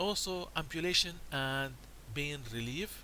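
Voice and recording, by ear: A man talks at a medium pitch with vocal fry.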